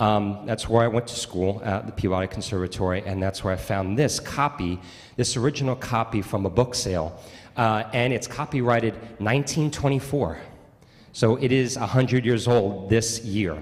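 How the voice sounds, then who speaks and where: A man with a Long Island accent at a moderate pace. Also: medium pitch for a man, ordinary pitch variation. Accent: Long Island New York. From Long Island, New York. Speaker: bassoonist. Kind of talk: spoken introduction at a concert. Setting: church concert with audience. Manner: conversational, with frequent fillers.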